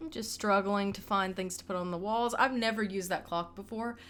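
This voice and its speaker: A woman speaks with a Southern US accent at medium pitch and ordinary pitch variation. The recording is very clean, with a silent background. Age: 20s. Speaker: gaming YouTuber. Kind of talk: casual gameplay voiceover. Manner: casual, hesitant with fillers.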